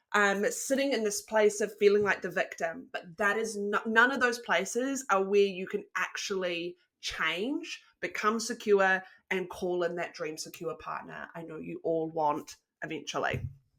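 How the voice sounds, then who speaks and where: Speaking in a New Zealand accent, a woman sounds enthusiastic, using a medium pitch with ordinary variation at a fairly slow pace. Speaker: relationship coach. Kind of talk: online masterclass presentation.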